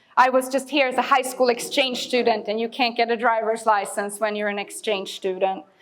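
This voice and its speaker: Fairly quick, hardly any pauses: a woman with a Swedish accent, fairly high pitch, ordinary pitch variation and noticeable background noise. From Sweden, Stockholm. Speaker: immigrant services worker. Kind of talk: audience Q&A after a talk.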